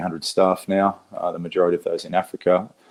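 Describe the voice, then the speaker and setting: A man speaking in an Australian accent keeps a moderate pace. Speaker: conservationist, war veteran. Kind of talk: talk to an audience. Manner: halting, many fillers and repeats.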